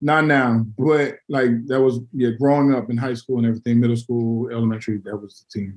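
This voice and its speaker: A man with an ordinary speaking voice talks at a fairly quick pace and medium pitch, with fairly even intonation and hardly any pauses. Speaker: podcast co-host. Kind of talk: sports podcast discussion.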